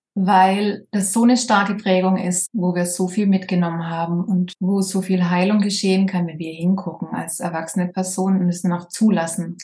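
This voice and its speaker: This woman talks at a moderate pace in a slight Swabian accent, her intonation monotone and flat, with hardly any pauses. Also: medium pitch for a woman. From southern Germany, Baden-Württemberg. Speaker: social worker and medium. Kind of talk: casual interview.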